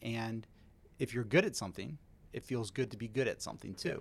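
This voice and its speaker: Moderately paced speech comes in an American accent and an unremarkable speaking voice. The recording is very clean, with a silent background. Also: man. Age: 40s. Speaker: mortgage loan officer. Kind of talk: interview.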